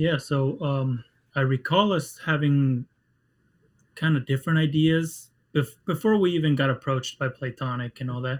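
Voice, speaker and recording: With a Spanish accent, a man speaks at a fairly high pitch, ordinary pitch variation and a moderate pace, his voice somewhat breathy. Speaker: game writer. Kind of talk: casual interview.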